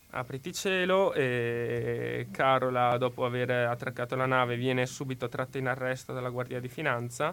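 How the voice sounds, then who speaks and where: A man with an unremarkable speaking voice, medium pitch, at a fairly slow pace. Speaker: university student. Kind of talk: current affairs commentary. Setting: studio.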